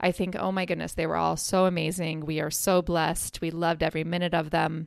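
Speaking at a fairly quick pace, a woman with a fairly low pitch has noticeable vocal fry. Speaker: podcast host. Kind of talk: solo podcast talk. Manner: casual.

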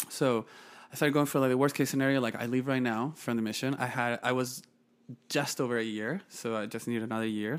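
Someone speaks at a very fast pace with a Chilean accent. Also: man, medium pitch for a man. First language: Spanish. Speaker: podcast guest, nonprofit founder. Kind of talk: casual interview conversation, telling life story.

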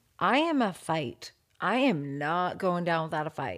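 In a very clean recording with a silent background, a woman with a normal speaking voice and a fairly low pitch speaks at a fairly slow pace with lively intonation. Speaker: podcast host. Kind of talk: true crime podcast narration and discussion.

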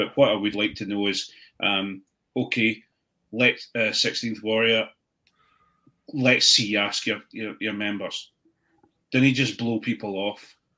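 Speaking fairly slowly, a man leaves long, frequent pauses. His tone is bright and sharp, and his intonation is flat and monotone. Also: medium pitch for a man. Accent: Edinburgh. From Scotland, Edinburgh. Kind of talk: casual chat. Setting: video call.

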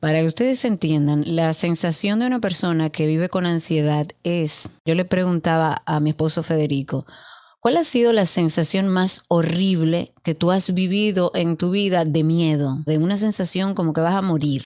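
Over a silent background on a very clean recording, a woman with a dark, mellow tone and fairly low pitch speaks at a moderate pace with hardly any pauses, ordinary pitch variation and very even loudness. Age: 40s. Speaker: podcast co-host. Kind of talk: casual chat.

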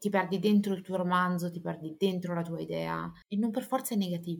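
A somewhat breathy woman speaks at a fairly low pitch with fairly even intonation. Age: 30s. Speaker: author and editor. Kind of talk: interview.

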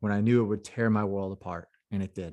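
In an ordinary speaking voice, a man with a fairly low pitch talks at a fairly quick pace with fairly even intonation against a quiet background. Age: 30s. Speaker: Marine Corps combat veteran, coach and author. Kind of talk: casual chat.

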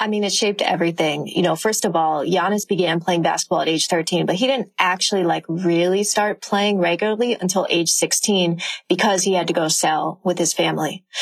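A woman's plain, everyday voice, fairly low in pitch, at a fairly quick pace with hardly any pauses, fairly even intonation and very even loudness. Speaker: author. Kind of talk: casual chat.

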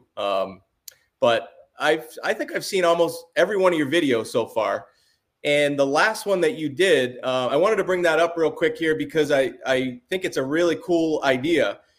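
Speaking in a high voice with a warm tone, a man uses ordinary pitch variation. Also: moderate pace. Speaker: sports card channel host. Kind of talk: casual interview chat. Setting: video call. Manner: friendly, warm.

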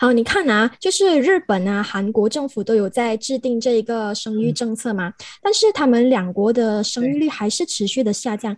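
Here a woman with an ordinary speaking voice, fairly high in pitch, talks at a moderate pace with lively intonation. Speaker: podcast host. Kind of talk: interview.

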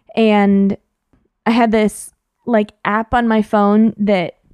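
A woman with an American accent has an ordinary speaking voice, fairly high in pitch with fairly even intonation, recorded very cleanly against a silent background with a dry, close sound with no echo. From San Jose, California. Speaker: podcast co-host. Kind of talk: casual chat.

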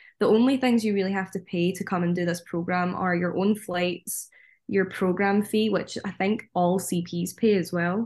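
A woman in a Scottish accent with fairly even intonation against a quiet background. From Scotland. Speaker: theme park worker on cultural exchange. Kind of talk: casual chat.

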